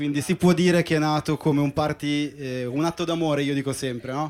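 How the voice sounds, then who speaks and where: Here a man with an ordinary speaking voice talks at a fairly high pitch and fairly quick pace, with fairly even intonation. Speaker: DJ. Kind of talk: interview on live podcast. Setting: boat with live audience.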